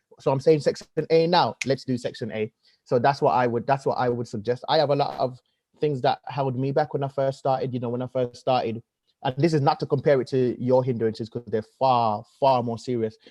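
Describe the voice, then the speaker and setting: With a Birmingham accent, a man talks at a fairly quick pace in a dark, mellow tone with fairly even intonation. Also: medium pitch for a man, dry, close sound with no echo. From Birmingham, England. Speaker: comedian and presenter. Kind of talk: podcast interview.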